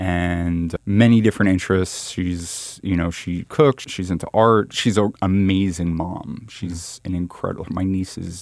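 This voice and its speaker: With hardly any pauses, a man speaks in a very deep, low voice and fairly even intonation. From New York City (Manhattan). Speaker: solar energy nonprofit co-founder. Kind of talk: interview conversation. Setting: studio, face-to-face. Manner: halting, many repeats and fillers.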